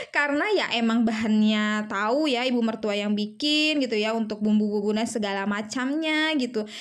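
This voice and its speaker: A woman with a shrill, fairly high voice speaks at a moderate pace with hardly any pauses, very even loudness and ordinary pitch variation, with audible room echo. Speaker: homemaker vlogger. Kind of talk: casual vlog narration. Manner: chatty, hesitant with fillers.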